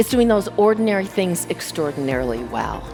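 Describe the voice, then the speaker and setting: A woman's voice swings very widely in pitch while music plays behind her. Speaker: keynote speaker. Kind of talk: keynote speech. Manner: humorous, engaging.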